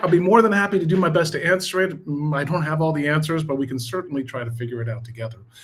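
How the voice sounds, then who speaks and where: A man with an American accent at a high pitch and a very fast pace. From United States. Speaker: tech business manager and presenter. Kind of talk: live stream presentation. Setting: live stream, talking into camera. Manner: casual, energetic.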